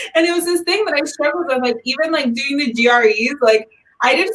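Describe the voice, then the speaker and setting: The speaker is a woman with lively intonation. She talks very fast. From Miami, Florida. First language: Spanish. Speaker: graduate student. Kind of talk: casual panel chat.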